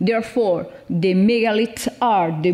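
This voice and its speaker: A woman's medium-pitched voice in a Spanish accent, fairly slow, with ordinary pitch variation, audible room echo and noticeable background noise. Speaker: professor. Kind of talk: conference presentation. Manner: halting.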